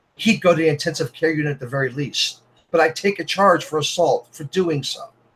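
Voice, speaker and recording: His voice sits fairly high for a man, and its pitch varies in an ordinary way. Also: fairly quick pace. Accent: American. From New York City (Brooklyn, Staten Island). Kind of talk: heated debate. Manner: loud.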